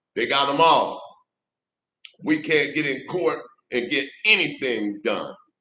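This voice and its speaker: Audible room echo surrounds a man speaking at a fairly slow pace. His voice is fairly high, with a bright, sharp tone. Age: 60s. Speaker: political commentator. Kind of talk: political monologue. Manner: impassioned.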